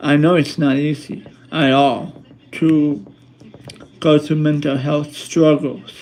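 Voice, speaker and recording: Speaking at a very slow pace, a man with a fairly high pitch keeps his intonation fairly even against noticeable background noise. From Colombia. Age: 30s. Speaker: YouTuber. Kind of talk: casual livestream talk to viewers. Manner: halting, many fillers and repetitions.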